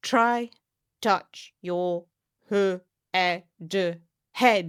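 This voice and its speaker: A woman's put-on, robotic character voice at medium pitch. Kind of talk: simple instructions for children.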